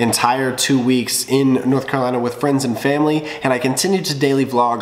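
A man speaks at a moderate pace. Audible room echo hangs around his voice. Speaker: vlogger. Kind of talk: casual vlog chat. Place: kitchen. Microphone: phone near.

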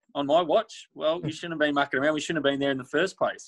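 A man talks fast at a fairly high pitch, with big pitch swings and vocal fry. The sound is dry and close, with no echo.

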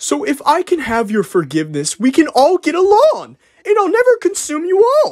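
Put-on character voice from a man, pitched extremely high, delivered at a moderate pace. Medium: dub. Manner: nervous, hesitant.

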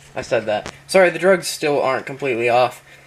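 Noticeable background noise runs under this recording. A man talks at a medium pitch, his pitch varying in an ordinary way. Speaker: vlogger. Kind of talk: casual vlog. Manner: halting.

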